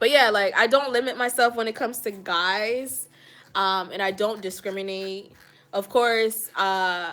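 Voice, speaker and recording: The voice belongs to a woman and has a bright, sharp tone. The intonation is fairly even. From Jamaica (Kingston). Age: 20s. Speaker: hair and lifestyle vlogger. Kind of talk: live stream Q&A chat. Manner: casual, conversational.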